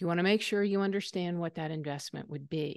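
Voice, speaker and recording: Recorded with a dry, close sound, no echo and a quiet background, a woman speaks with a slight Southern US accent and ordinary pitch variation. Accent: slight Southern twang. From US South. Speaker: aging expert presenter. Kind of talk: webinar lecture. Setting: online webinar.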